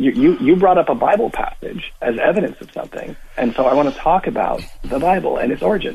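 A man speaks at a very fast pace. He leaves hardly any pauses. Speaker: caller. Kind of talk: call-in debate. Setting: phone call.

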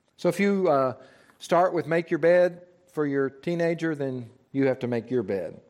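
A man speaks at a fairly high pitch with ordinary pitch variation. His is a normal speaking voice. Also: moderate pace. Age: 60s. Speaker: church teacher. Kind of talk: lecture.

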